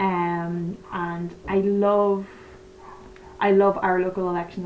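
A woman speaks in a flat monotone at a fairly low pitch, with noticeable background noise. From Northern Ireland. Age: 30s. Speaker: election enthusiast. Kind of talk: casual chat.

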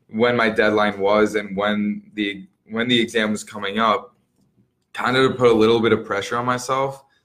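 With an Upper Midwest accent, a man speaks at a fairly low pitch in a monotone, flat intonation at a moderate pace. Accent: Upper Midwest American. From Wisconsin, Milwaukee area. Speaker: new real estate agent and Army National Guard soldier. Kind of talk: interview.

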